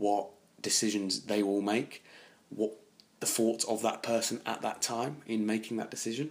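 A man speaks with an English accent. His pitch is fairly low. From England. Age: 20s. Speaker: travel and history podcaster. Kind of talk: solo podcast monologue.

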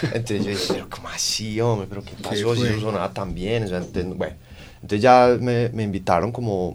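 Very fast speech comes from a man with a fairly low pitch and fairly even intonation. Audible room echo surrounds his voice. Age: 30s. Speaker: rock band guitarist. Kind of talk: interview.

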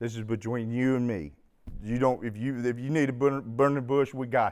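The speaker, with an Arkansas accent, talks at a moderate pace on a very clean recording with a silent background. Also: man. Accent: Southern US (Arkansas). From US South, Arkansas. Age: 50s. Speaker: recovering alcoholic speaker. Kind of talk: testimony. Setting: stage with audience.

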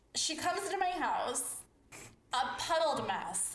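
Against noticeable background noise, a woman speaks very slowly with an American accent. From Chicago. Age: 30s. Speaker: podcast host.

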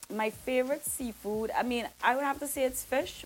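A woman speaks in an animated, relaxed tone. Her pitch varies in an ordinary way. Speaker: singer and soca artist. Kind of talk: casual interview chat. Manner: animated, chatty, relaxed, filler-heavy.

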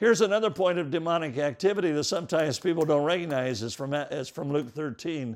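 A man has an unremarkable speaking voice, fairly high for a man, at a moderate pace. The recording is very clean with a silent background. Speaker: preacher. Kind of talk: sermon, Bible teaching. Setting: live church teaching to a congregation. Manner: earnest, instructive, expository; fervent, shifting into prayer.

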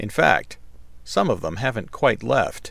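At a moderate pace, a man talks on a very clean recording with a silent background. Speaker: audiobook narrator reading nonfiction. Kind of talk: reading aloud, informative nonfiction narration.

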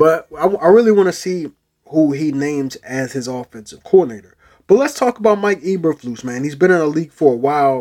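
A man with an American accent, fairly high-pitched, fairly quick and animated, with lively intonation. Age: 20s. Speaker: sports podcast host. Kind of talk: casual sports talk monologue.

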